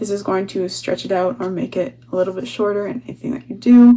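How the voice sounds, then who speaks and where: Her voice sits at a medium pitch. The woman's intonation stays lively throughout. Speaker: digital artist. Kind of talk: tutorial. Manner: fast.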